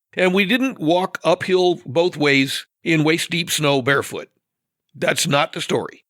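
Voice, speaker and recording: This man's voice sits high in pitch, with ordinary pitch variation. He speaks with an American accent. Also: fairly slow pace, dry, close sound with no echo. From US West Coast (Northern California and Oregon). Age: 60s. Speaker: podcast guest. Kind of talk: casual podcast discussion.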